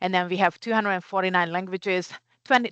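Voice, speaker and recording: In a dry, close recording with no echo and a quiet background, a woman speaks at a medium pitch with a Hungarian accent. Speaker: community care CEO. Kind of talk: conference presentation.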